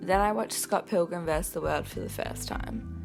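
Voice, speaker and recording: A woman speaks with music in the background. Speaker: film reviewer. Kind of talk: casual film review to camera.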